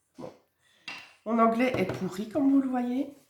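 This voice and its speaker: A woman speaks with a high voice. Her intonation is fairly even. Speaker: card-making crafter. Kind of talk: casual crafting tutorial. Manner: casual, chatty.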